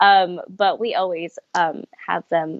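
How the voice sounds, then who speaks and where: This is a woman talking. She has a Californian accent. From Los Angeles, California. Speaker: camp outreach coordinator. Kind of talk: interview.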